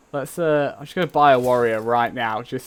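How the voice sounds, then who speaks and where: The speaker has an English accent and a fairly quick pace. Pitch varies in an ordinary way. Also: man. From England. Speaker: gaming streamer. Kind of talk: casual live stream chat. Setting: live game stream.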